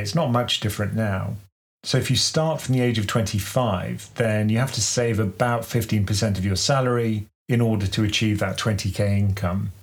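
Somewhat breathy and fairly low, a man with a British accent talks at a fairly quick pace with very even loudness in a very clean recording with a silent background. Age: 50s. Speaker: investing podcast co-host. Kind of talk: casual chat.

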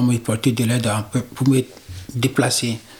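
A man talks at a medium pitch. Noticeable background noise accompanies him. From Togo. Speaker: migrant. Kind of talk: testimony.

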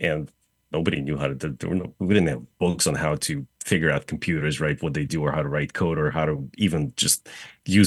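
With vocal fry and a slight Russian accent, a man speaks at a moderate pace in a very deep, low voice. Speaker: real estate developer. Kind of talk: casual interview. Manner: hesitant, many fillers.

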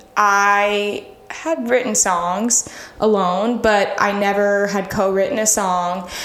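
With an American accent, a woman speaks very slowly at medium pitch and with fairly even intonation. Her loudness stays very even, and audible room echo surrounds her. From Florida (Miami, then St. Augustine). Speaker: singer-songwriter. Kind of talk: casual interview.

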